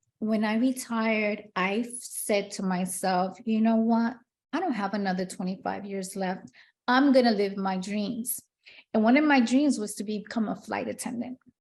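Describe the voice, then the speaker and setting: With a Spanish accent, a woman speaks at a fairly high pitch in a somewhat breathy voice. Her intonation stays fairly even. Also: moderate pace. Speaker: retired police detective turned preschool teacher and children's author. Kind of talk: interview.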